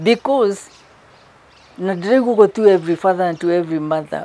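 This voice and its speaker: With a Kenyan accent, a woman talks fairly quickly at a fairly low pitch with ordinary pitch variation. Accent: Kenyan (Kikuyu) English. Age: 70s. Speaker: therapist and pastor. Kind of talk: interview testimony.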